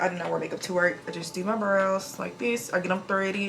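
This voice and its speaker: Pitch variation here is ordinary. Audible room echo surrounds the voice. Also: woman. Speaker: NICU nurse and lifestyle vlogger. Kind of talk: casual get-ready-with-me vlog. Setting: at home. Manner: very fast, few pauses.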